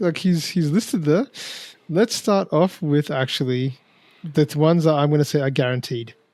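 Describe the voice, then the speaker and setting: Talking at a fairly quick pace, a man with an Australian accent and fairly high pitch has a dark, mellow tone and lively intonation. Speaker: wrestling podcast host. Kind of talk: casual chat. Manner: animated.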